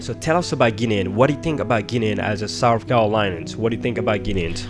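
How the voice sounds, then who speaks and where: A man's fairly low voice at a very fast pace with lively intonation, music in the background. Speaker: radio show host. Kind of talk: live radio interview.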